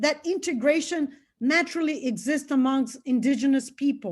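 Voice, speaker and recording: Against a quiet background, a woman with a Brazilian Portuguese accent speaks at a moderate pace and a high pitch. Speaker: anthropologist and psychedelic researcher. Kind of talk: lecture. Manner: halting, with frequent fillers and repetitions.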